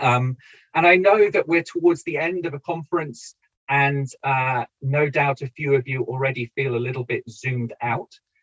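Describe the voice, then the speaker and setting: A man with a British accent speaks at a fairly high pitch and a moderate pace. His pitch varies in an ordinary way, and the sound is dry and close with no echo. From Britain. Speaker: political science professor. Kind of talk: lecture. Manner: hesitant, many fillers.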